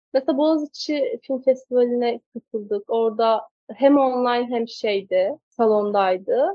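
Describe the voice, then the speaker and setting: This is a woman with a high-pitched voice. Her pitch varies in an ordinary way. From Turkey, Kastamonu. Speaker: film director. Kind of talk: interview. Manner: hesitant, with many fillers.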